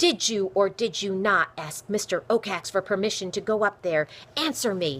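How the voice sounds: Reading voice, natural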